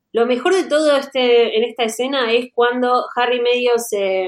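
A woman's fairly high voice, an unremarkable speaking voice, at a moderate pace with fairly even intonation. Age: 30s. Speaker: podcast host. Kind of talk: casual chat.

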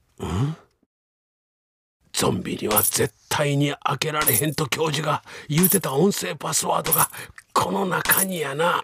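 A man uses a put-on character voice, raspy and fairly high in pitch, with ordinary pitch variation. He talks at a fairly slow pace with long, frequent pauses, in a dry, close sound with no echo. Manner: urgent, bluffing, comic.

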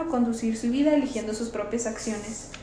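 A high-pitched woman at a fairly quick pace, with audible room echo and noticeable background noise. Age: 20s. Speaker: parish youth volunteer, bible study podcast host. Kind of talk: bible study discussion.

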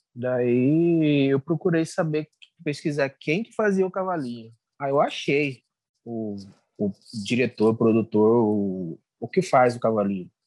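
At a fairly slow pace with long, frequent pauses, a man of medium pitch speaks with lively intonation in a dry, close sound with no echo. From Cuiabá, Mato Grosso, Brazil. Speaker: comedian and social media content creator. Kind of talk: interview. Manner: halting, with repetitions.

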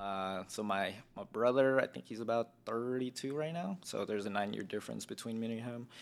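On a very clean recording with a silent background, a man with an American accent and a plain, everyday voice talks at a fairly quick pace with ordinary pitch variation. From Las Vegas, US. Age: 20s. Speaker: army enlistee. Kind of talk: casual chat.

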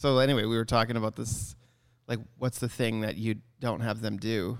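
This man has a Canadian accent and a normal speaking voice at medium pitch. He talks at a moderate pace with fairly even intonation. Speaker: photography business owner and podcast co-host. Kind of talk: casual chat. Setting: photography studio.

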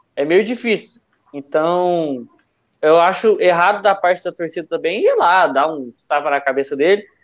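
The man's voice sits at a high pitch, his intonation lively. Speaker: sports podcast co-host. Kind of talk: casual chat.

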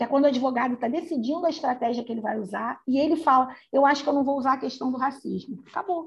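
A woman's high voice with lively intonation. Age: 50s. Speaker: screenwriter and journalist. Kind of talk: casual chat.

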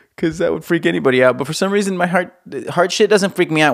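Vocal fry runs through this man's speech, which has very wide pitch swings. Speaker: podcast host, musician. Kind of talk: casual solo monologue. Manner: rambling, lots of fillers.

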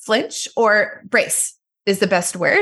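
In a quiet background, a woman with a Quebec accent speaks at a medium pitch in a bright, sharp tone. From Quebec, Montreal area. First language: French. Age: 30s. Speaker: massage therapist. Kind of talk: casual chat. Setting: video call.

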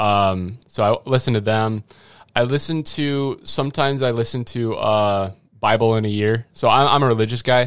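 A normal speaking voice from a man at a medium pitch, fairly even intonation, a moderate pace and a very clean recording with a silent background. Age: 20s. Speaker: college sports videographer. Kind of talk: casual chat. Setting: studio.

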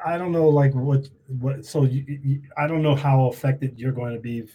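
A man's ordinary speaking voice at medium pitch, with an American accent and fairly even intonation. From New York. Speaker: podcast host. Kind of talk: casual interview. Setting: video call.

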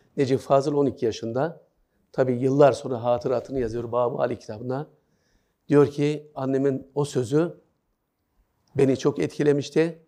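Long, frequent pauses break up a man's moderate-paced speech, his dark, mellow tone at medium pitch with fairly even intonation. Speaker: writer and journalist giving a talk. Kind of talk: lecture. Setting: hall with student audience. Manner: hesitant with many fillers.

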